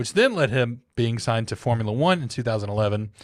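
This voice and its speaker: Speaking with a Southern US accent at a fairly quick pace, a man keeps a medium pitch on a very clean recording with a silent background. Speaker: podcast co-host. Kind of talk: casual chat. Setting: podcast recording.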